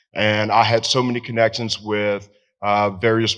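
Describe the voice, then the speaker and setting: Over a quiet background, a man with an American accent talks at a fairly low pitch. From Tennessee. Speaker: veteran. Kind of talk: storytelling. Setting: stage with audience.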